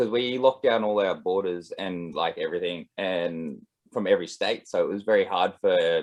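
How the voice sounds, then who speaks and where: A man speaks with an Australian accent. His pace is fairly quick. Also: hardly any pauses. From Australia, east coast. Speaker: musician and composer. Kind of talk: casual video call chat. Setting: video call.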